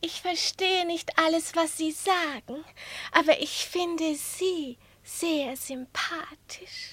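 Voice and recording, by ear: A put-on character voice with a bright, sharp tone moves at a slow pace with fairly even intonation. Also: woman, extremely high pitch for a woman.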